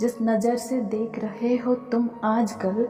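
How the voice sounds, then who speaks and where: With music in the background, a woman speaks in a high pitch. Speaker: poet. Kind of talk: poetry reading.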